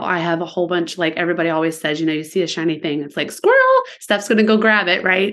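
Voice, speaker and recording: Here is an ordinary speaking voice from a woman with an American accent. Her pitch sits at a medium level with fairly even intonation. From Virginia Beach, Virginia. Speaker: shop owner. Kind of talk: casual chat.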